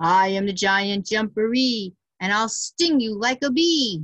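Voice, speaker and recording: Putting on a character voice, a woman speaks loud and booming at a fairly slow pace with a fairly high pitch. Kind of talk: storytime read-aloud. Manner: threatening, boastful.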